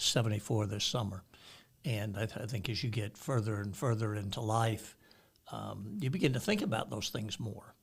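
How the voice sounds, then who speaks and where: At a moderate pace, a man with a somewhat breathy, fairly low voice speaks with ordinary pitch variation. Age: 70s. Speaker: pastor. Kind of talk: casual chat.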